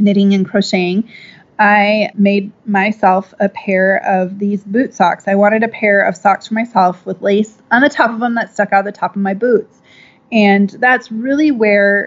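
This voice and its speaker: A woman with an American accent speaks at a moderate pace and medium pitch in an unremarkable speaking voice. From Minnesota, US Midwest. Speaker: clothing company founder. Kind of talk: interview.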